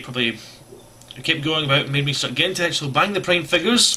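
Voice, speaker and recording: A man mumbles in a fairly high voice, with ordinary pitch variation. Background noise is noticeable behind him. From Scotland. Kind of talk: casual talk to camera. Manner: rambling, mumbling.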